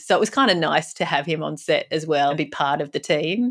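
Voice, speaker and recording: This very clean recording with a silent background carries a voice with an Australian accent at a moderate pace with ordinary pitch variation. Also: woman. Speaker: TV writer and actress. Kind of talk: interview.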